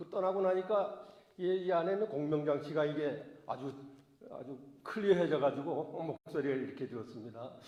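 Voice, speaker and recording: Amid noticeable background noise and audible room echo, a man speaks at a moderate pace in a fairly high voice, with ordinary pitch variation and big swings in loudness. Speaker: pastor. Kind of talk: sermon. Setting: church. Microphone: voice echoing.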